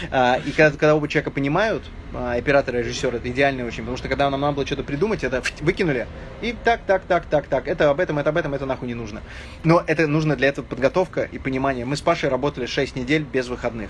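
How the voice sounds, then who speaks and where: A man speaks at a very fast pace in a fairly high voice with ordinary pitch variation, over noticeable background noise. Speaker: film director. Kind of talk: casual chat.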